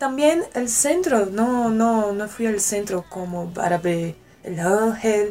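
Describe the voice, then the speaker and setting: In a Portuguese accent, a woman speaks very slowly with lively intonation at a fairly high pitch. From Brasília, Brazil. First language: Portuguese (speaking Spanish). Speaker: exchange student. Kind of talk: casual interview. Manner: halting.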